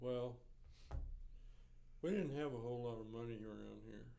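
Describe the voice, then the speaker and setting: A man with a Central Texas accent speaks in a dark, mellow tone. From Riesel, Texas. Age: 70s. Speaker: retired teacher, coach and school administrator. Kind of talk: oral history interview answer.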